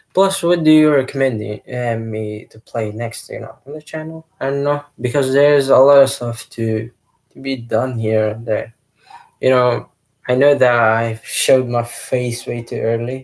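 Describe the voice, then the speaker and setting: Fairly slow, fairly even speech in a non-native accent, with big swings in loudness. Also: man, medium pitch for a man. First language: not English. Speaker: gaming youtuber. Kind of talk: casual vlog monologue. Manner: hesitant, many fillers.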